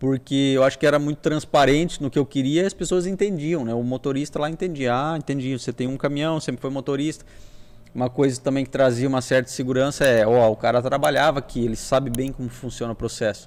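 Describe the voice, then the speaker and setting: A man's voice sits at a medium pitch, moving with ordinary variation as he talks very fast. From Brazil, Paraná interior (Toledo). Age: 40s. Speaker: business owner, trucking company founder. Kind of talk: podcast interview, casual life story.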